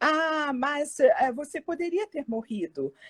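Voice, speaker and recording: Very slow female speech, dry and close with no echo, on a very clean recording with a silent background. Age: 60s. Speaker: psychologist, cancer survivor. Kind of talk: testimony. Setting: live video stream.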